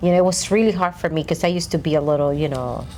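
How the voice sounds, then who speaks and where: The woman speaks in a Dominican accent. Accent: Dominican Spanish accent, somewhat thick. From Dominican Republic. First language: Spanish. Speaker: podcast co-host. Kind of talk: casual chat.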